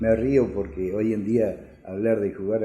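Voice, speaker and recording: A man's medium-pitched voice, dark and mellow, very slow, with audible room echo. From Argentina, Córdoba city. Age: 60s. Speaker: electrician. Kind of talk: life story interview. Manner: halting, many filler sounds.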